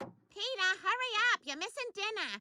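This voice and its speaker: A cartoonish, female-sounding character voice squeaks at an extremely high pitch. It moves at a moderate pace. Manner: calling out, concerned.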